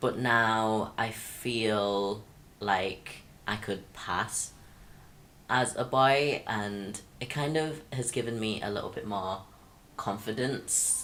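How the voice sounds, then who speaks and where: The speech moves at a very slow pace with ordinary pitch variation. Audible echo fills the room. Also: man, medium pitch for a man. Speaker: vlogger. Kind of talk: personal vlog. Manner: hesitant, many fillers.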